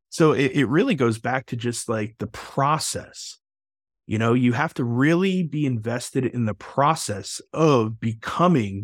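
Over a silent background in a very clean recording, a man with an American accent speaks at a fairly slow pace in a medium pitch with ordinary pitch variation. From Texas. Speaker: podcast host. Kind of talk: interview conversation.

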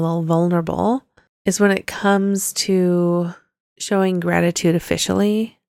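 A moderate pace and fairly even intonation in an ordinary speaking voice. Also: woman. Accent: American. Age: 40s. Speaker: podcast co-host. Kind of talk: casual chat.

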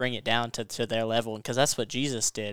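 In an American accent, a man speaks with a bright, sharp tone and monotone, flat intonation, the sound dry and close with no echo. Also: very clean recording, silent background. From Western Kentucky. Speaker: Bible college student. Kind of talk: Bible study discussion.

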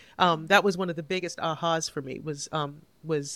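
A plain, everyday voice from a woman, fairly low in pitch, with ordinary pitch variation. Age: 50s. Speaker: author and former lawyer. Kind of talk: interview.

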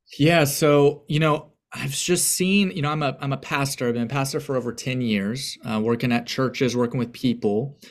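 With a normal speaking voice, a man talks at a moderate pace with ordinary pitch variation and hardly any pauses on a very clean recording with a silent background. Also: fairly high pitch for a man. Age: 30s. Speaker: pastor and aspiring counselor. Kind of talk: casual interview conversation.

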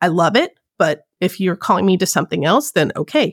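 On a very clean recording with a silent background and a dry, close sound with no echo, a woman with an ordinary speaking voice talks at a fairly quick pace with lively intonation. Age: 40s. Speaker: cosplayer and podcast host. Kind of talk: casual chat.

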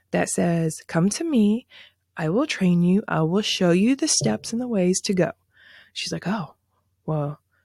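On a very clean, dry, close recording with no echo and a silent background, a woman speaks fairly slowly with long, frequent pauses, her dark, mellow, somewhat breathy voice at a medium pitch and lively in intonation. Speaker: branding podcast host. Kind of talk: educational solo podcast.

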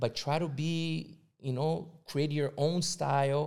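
A man with a Portuguese accent speaks at a very slow pace and a fairly high pitch. The recording is very clean, with a silent background. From Brazil, São Paulo. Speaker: visual artist. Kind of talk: casual chat.

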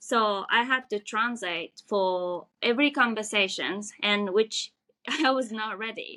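Speaking at a fairly slow pace with a Japanese accent, a woman has a bright, sharp tone and ordinary pitch variation. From Japan, Tokyo. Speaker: restaurant worker. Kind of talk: casual interview. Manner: halting.

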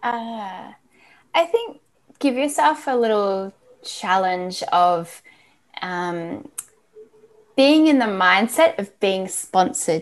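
In an Australian accent, a woman with a fairly high pitch talks at a very slow pace, leaving long, frequent pauses and swinging her pitch very widely. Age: 40s. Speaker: athlete branding expert. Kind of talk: interview.

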